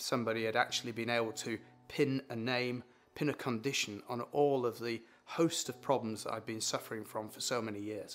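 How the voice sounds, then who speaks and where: A man's medium-pitched voice in a British accent, fairly quick in pace with ordinary pitch variation, music in the background. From UK. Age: 60s. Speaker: patient. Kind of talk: testimony.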